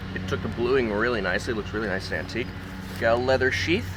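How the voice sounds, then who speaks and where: Noticeable background noise sits behind a man's voice. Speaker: knife review youtuber. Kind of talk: casual product review. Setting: outdoors. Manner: loud, yelling over noise.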